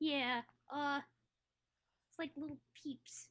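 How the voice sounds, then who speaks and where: A high-pitched, put-on character voice delivers the lines. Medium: actual play. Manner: timid, soft.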